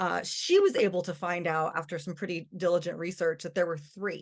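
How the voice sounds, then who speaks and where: A woman with an American accent, medium pitch and a fairly quick pace against a quiet background. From US, Denver, Colorado. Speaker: anthropology researcher. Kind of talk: lecture. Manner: fast; casual, many fillers.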